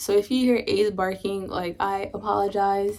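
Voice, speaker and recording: Heard in a very clean recording with a silent background, a woman talks fairly slowly at a medium pitch with fairly even intonation. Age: 20s. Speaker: mother. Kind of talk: casual talk to camera. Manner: rambling, informal.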